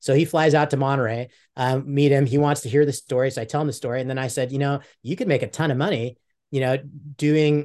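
With a fairly high pitch and fairly even intonation, a man with an ordinary speaking voice talks at a fairly quick pace in a quiet background. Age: 50s. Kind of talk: casual chat.

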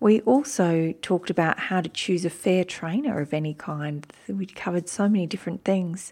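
A woman with an Australian accent speaks at a fairly low pitch in a dark, mellow tone, with ordinary pitch variation and hardly any pauses, on a very clean recording with a silent background. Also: moderate pace. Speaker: podcast host. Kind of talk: podcast intro narration; interview.

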